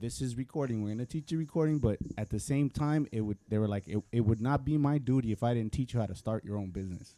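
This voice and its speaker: A man with a Spanish accent talks at a very fast pace, hardly pausing. His dark, mellow tone sounds dry and close, with no echo. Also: medium pitch for a man, ordinary pitch variation. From US, Mexican American. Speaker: recording arts alumnus, songwriter. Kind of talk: panel discussion. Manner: casual, halting with repetitions.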